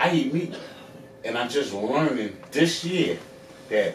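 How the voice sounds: Audible room echo around a man talking at a moderate speed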